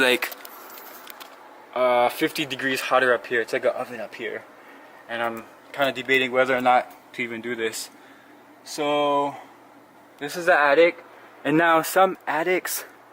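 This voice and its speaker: A man's medium-pitched voice at a moderate pace, with ordinary pitch variation, long, frequent pauses and noticeable background noise. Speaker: homeowner vlogger. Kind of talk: casual tutorial vlog. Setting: in a hot attic. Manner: hesitant, filler-heavy.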